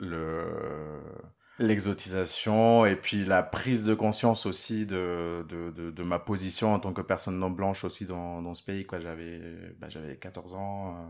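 Very deep, low pitch from a man with fairly even intonation. The recording is very clean, with a silent background. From Venezuela, moved to France at 13. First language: Spanish (speaking French). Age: 30s. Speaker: interviewee. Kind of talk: personal testimony interview. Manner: hesitant, many fillers and repetitions.

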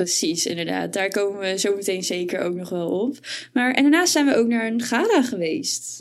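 This woman has an unremarkable speaking voice with lively intonation. She talks at medium pitch and a moderate pace. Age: 20s. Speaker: podcast co-host and student. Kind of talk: casual chat.

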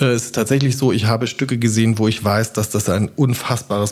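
Somewhat breathy male voice, medium in pitch, at a moderate pace with fairly even intonation. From South Baden, Germany (near Basel). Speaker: opera house director. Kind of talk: casual interview. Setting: at home.

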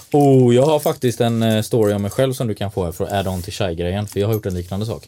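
Very fast speech comes from a man with a dark, mellow tone and medium pitch. His pitch varies in an ordinary way on a very clean recording with a silent background. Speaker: designer and event organizer. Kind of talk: casual chat. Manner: calm, never raises voice.

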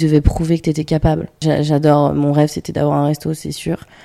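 A woman speaks at a fairly quick pace. Her voice is very deep and low in pitch, with a dark, mellow tone. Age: 20s. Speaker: podcast host, adoptee. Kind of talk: casual chat.

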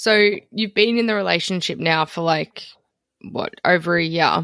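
In a very clean recording with a silent background, a woman with a fairly low voice speaks fairly slowly and with fairly even intonation. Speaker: podcast host. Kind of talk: casual interview.

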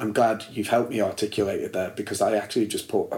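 A man's medium-pitched voice with a northern English accent. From northern England, Liverpool and Warrington. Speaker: actor and musician. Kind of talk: casual chat. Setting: at the host's home.

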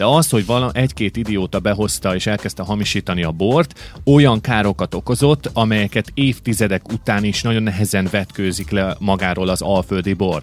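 Hardly pausing, a man with an unremarkable speaking voice talks at a fairly low pitch with lively intonation. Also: fairly quick pace. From Hungary, Kecel (Great Plain). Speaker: podcast host. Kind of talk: casual chat. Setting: studio.

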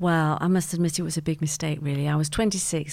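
Speaking in a Mancunian accent, a woman with a very deep, low pitch uses a dark, mellow tone and a monotone, flat intonation. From Manchester, England. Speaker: podcast guest, host's mother. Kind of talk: casual interview.

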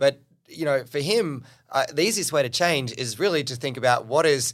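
A man with an Australian accent, fairly high pitch and a moderate pace, on a very clean recording with a silent background. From Australia, New South Wales Central Coast. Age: 30s. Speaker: business coach. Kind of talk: interview conversation.

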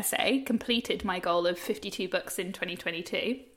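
Noticeable background noise accompanies a woman who talks at a fairly quick pace. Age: 30s. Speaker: journalist and podcast co-host. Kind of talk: casual chat. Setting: remote call.

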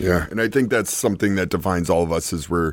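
A man with a very deep, low pitch, an American accent and fairly even intonation, on a very clean recording with a silent background. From New York City. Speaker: DJ and party promoter. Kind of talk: panel discussion. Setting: live recording with audience.

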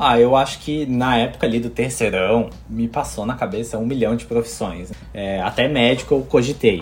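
A man keeps a moderate pace with hardly any pauses while noticeable background noise plays behind him. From Brazil. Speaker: architect, theme park fan. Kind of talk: casual chat.

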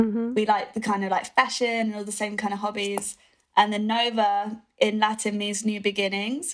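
In a British accent, a woman speaks with a fairly high pitch. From UK. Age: young. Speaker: rock musician. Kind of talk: interview. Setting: video call.

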